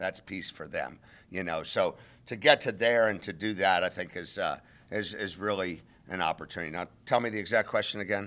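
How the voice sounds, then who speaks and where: A man speaks with a normal speaking voice, fairly low in pitch, at a fairly quick pace. The intonation is fairly even on a very clean recording with a silent background. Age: 60s. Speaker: interim college football head coach. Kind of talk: press conference.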